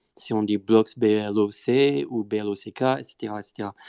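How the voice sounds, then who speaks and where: Recorded with a dry, close sound and no echo, a man speaks at medium pitch with fairly even intonation. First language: not French (speaking French). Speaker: Bitcoin Core developer. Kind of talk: technical panel discussion. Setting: live Twitter audio space. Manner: hesitant, many fillers.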